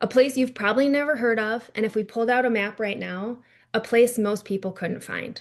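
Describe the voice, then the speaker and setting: A woman with an American accent, fairly high pitch, ordinary pitch variation and a fairly quick pace against a quiet background. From North Dakota, US. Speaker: PR strategist and author. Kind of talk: keynote speech. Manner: fast.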